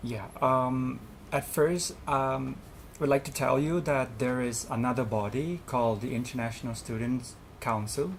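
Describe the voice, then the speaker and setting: A man with a Thai accent speaks at a fairly slow pace with ordinary pitch variation. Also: medium pitch for a man. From Thailand. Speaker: student representative. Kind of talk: interview. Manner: hesitant, many fillers.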